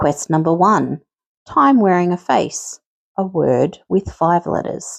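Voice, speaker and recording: With an Australian accent, a woman talks at a very slow pace, the sound dry and close with no echo. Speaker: quiz host. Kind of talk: scripted quiz presentation.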